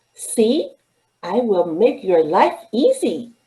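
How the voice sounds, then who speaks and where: A female-sounding put-on character voice, fairly high in pitch, speaks at a very slow pace. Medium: read story. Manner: enthusiastic.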